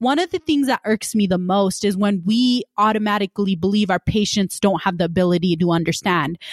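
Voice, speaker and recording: A woman has an ordinary speaking voice, talking at a fairly quick pace with a medium pitch, ordinary pitch variation, very even loudness and hardly any pauses. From Punjab, India, raised in Utah. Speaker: podcast host, medical student. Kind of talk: casual podcast conversation. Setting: virtual studio, remote recording.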